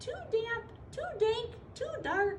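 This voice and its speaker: A woman puts on a squeaky character voice at an extremely high pitch. Light background noise can be heard. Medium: read story.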